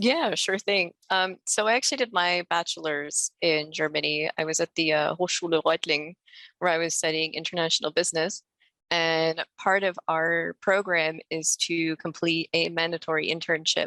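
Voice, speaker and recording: The tone is bright and sharp, with fairly even intonation at a moderate pace. The recording is very clean, with a silent background and a dry, close sound with no echo. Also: woman, fairly low pitch for a woman. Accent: New Jersey. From US Northeast, New Jersey. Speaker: working student. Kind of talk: panel chat.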